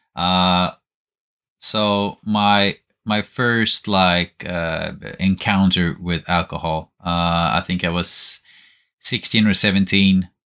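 A man with a Swedish accent, very deep and low in pitch yet bright and sharp in tone, at a very slow pace with monotone, flat intonation, in a dry, close sound with no echo on a very clean recording with a silent background. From Sweden. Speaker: podcast co-host, miniature painter. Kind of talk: casual chat.

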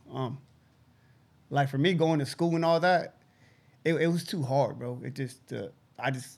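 Vocal fry colors a man's medium-pitched voice as he speaks at a fairly slow pace with ordinary pitch variation.

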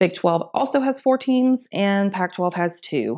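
In a very clean recording with a silent background, a woman speaks with an American accent at a very slow pace. Her pitch is medium but swings very widely. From US South, Augusta, Georgia. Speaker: sports podcast host. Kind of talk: casual sports talk monologue. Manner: casual, filler-heavy.

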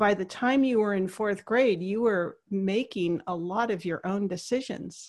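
A woman at a fairly slow pace with hardly any pauses, an ordinary speaking voice of medium pitch, ordinary pitch variation, and a quiet background. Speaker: podcast host. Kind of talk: interview conversation. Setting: phone call.

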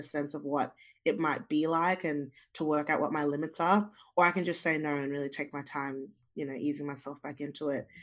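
A woman with an Australian accent speaks at a very deep, low pitch and a fairly quick pace. Her intonation stays fairly even over a quiet background. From Zimbabwe, raised in Australia. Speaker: singer-songwriter. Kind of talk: casual interview chat.

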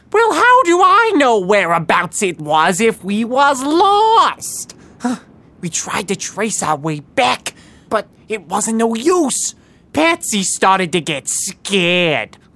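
Speaking at a fairly slow pace, a female-sounding voice sits fairly high in pitch and makes very wide pitch swings. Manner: cocky, streetwise.

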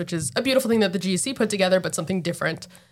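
In a very clean recording with a silent background, a woman with an American accent talks at a medium pitch with ordinary pitch variation. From New Jersey. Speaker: architect. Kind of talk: casual interview. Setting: on location at their office.

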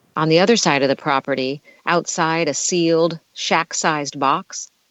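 This woman has a plain, everyday voice. It sits fairly low in pitch and moves at a fairly slow pace. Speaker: podcast host. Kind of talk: casual group chat, hosting a virtual reading. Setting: video call.

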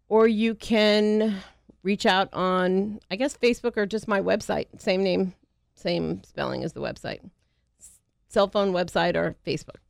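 A normal speaking voice at a fairly slow pace, with fairly even intonation and big swings in loudness, in a very clean recording with a silent background. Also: woman, medium pitch for a woman. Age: 50s. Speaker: pet sitting business owner. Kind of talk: radio interview.

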